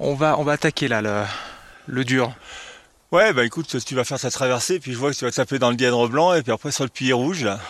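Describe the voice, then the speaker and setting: With a dry, close sound and no echo, a man at medium pitch talks at a fairly quick pace with ordinary pitch variation and long, frequent pauses. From France, Grenoble. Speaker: comic book artist and climber. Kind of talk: casual chat. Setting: outdoors. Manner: halting.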